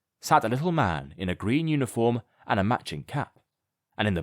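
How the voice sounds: A natural reading voice with lively intonation plays out against a quiet background.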